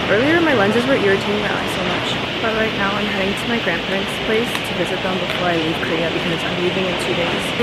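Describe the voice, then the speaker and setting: A woman talks at a very fast pace with hardly any pauses. Loud background noise runs underneath. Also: ordinary pitch variation. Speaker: vlogger. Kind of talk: casual vlog chat. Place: market. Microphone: phone near.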